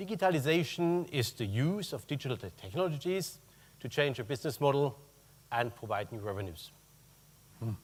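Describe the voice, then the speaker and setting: With a German accent, a man at a medium pitch talks at a moderate pace, his voice somewhat breathy, with very wide pitch swings and long, frequent pauses. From Germany. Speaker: corporate purchasing executive. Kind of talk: conference talk.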